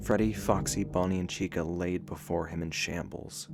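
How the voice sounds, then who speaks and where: There is music in the background. A man speaks in a very deep, low voice. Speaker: storyteller. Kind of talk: horror story narration.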